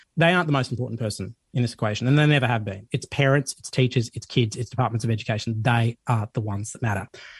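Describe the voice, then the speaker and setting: A man with an Australian accent speaks very fast in a somewhat breathy, medium-pitched voice with ordinary pitch variation, the sound dry and close with no echo over a quiet background. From Sydney, Australia. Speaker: journalist and documentary host. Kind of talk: radio interview.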